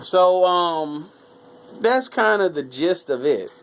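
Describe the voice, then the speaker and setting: A man speaks very slowly in a high voice, his intonation lively. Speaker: YouTuber reviewing movies. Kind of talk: casual movie review. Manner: stuttering at times.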